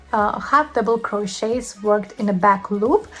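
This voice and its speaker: Noticeable background noise accompanies a voice with a Lithuanian accent speaking at a fairly slow pace. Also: woman. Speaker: crochet teacher. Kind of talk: tutorial. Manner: hesitant, many fillers.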